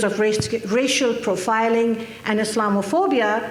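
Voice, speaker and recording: Noticeable background noise and audible room echo behind a woman's voice. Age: 60s. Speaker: activist speaker. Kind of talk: conference speech. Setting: stage with audience.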